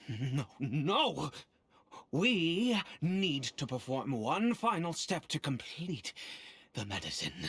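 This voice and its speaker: A put-on character voice sits at middle pitch and moves very slowly. Long pauses come often. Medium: video game. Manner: formal, measured.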